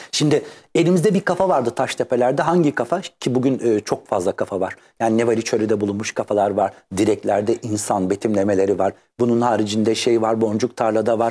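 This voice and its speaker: Keeping his loudness very even, a man with a dark, mellow tone speaks at a fairly quick pace. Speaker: art historian and researcher; guest. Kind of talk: interview. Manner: fast. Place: studio. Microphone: lapel.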